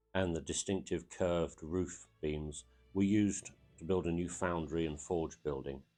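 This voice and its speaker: Over music in the background, a man talks in a very deep, low pitch. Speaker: aviation history video narrator. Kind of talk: documentary narration.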